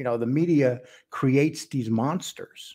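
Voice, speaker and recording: Against a quiet background, a man with a dark, mellow tone and a somewhat breathy voice talks at a moderate pace with ordinary pitch variation. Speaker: online show host. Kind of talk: commentary. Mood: earnest, defensive, somber. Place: home room. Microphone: studio mic.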